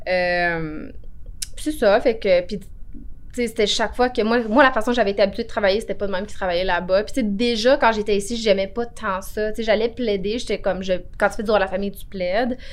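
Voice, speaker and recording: At a fairly quick pace, an unremarkable speaking voice goes on. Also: woman, fairly high pitch for a woman, ordinary pitch variation. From Quebec, Outaouais (Cantley). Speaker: notary. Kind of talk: interview.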